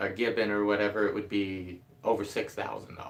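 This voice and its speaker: A man mumbles his words. His intonation is monotone and flat. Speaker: DIY carpenter and video creator. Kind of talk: live stream chat. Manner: mumbling.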